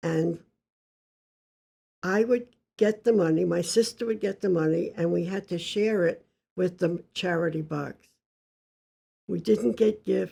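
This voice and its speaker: Vocal fry runs through a dark, mellow tone delivered at a fairly slow pace. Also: woman. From US, child of Yiddish-speaking immigrants. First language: Yiddish. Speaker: interviewee sharing life story. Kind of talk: life story interview.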